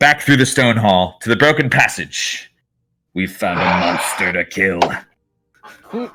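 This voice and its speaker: A man shouting in a put-on character voice, fairly low-pitched, with lively intonation and a fairly slow pace. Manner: screaming, urgent.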